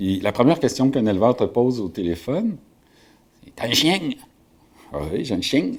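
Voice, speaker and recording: This man's voice has very wide pitch swings and big swings in loudness, broken by long, frequent pauses. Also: medium pitch for a man, moderate pace. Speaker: shepherd and author. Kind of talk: interview storytelling. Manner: hesitant, many fillers.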